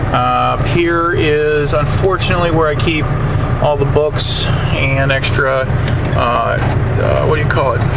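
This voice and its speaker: The speech moves at a fairly slow pace over loud background noise. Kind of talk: casual vlog tour. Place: car. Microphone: phone near.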